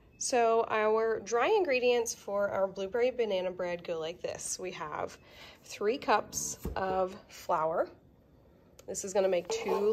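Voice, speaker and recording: Light background noise behind a woman at a very slow pace. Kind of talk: tutorial. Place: kitchen. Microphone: phone near.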